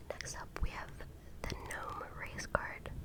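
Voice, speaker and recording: Noticeable background noise surrounds a whispering voice. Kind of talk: ASMR card reading. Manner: whispered, soft-spoken.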